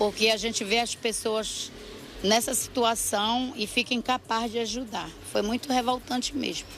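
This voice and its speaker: A fairly high-pitched woman at a moderate pace with fairly even intonation, amid noticeable background noise. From Belém, Pará, northern Brazil. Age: 60s. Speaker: local resident interviewed. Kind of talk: street news interview.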